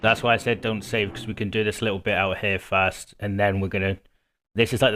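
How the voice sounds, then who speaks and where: Music plays behind a man with a British accent whose fairly low voice stays monotone and flat. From Britain. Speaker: video game walkthrough creator. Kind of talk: gameplay commentary. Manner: casual, chatty.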